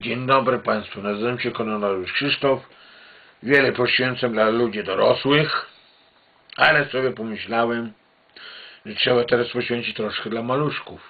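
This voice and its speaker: Speaking at a moderate pace with fairly even intonation, a man leaves long, frequent pauses. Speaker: home video storyteller. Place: home room. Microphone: webcam.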